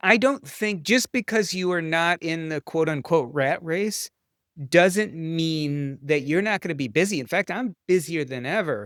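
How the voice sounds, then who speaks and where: Against a silent background in a very clean recording, the speaker uses an animated, passionate tone and lively intonation at a fairly slow pace. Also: man, high pitch for a man, dry, close sound with no echo. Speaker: physician and author. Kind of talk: interview conversation.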